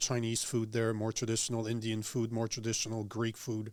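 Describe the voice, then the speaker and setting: A man is speaking here. His pace is moderate and his pitch sits in the middle range. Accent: French Canadian. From Quebec, Montreal. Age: 40s. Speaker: political commentator. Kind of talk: casual chat. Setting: studio.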